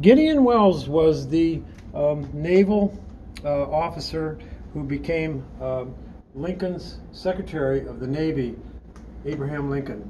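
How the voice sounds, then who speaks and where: Over noticeable background noise, a man speaks at a fairly slow pace. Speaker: auctioneer showing items. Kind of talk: walkthrough commentary. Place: hall. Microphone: phone near.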